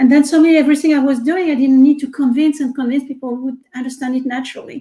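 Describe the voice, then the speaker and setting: A woman with a French accent speaks very fast in a high, flat, monotone voice. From France. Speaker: research scientist and tech executive. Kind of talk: interview.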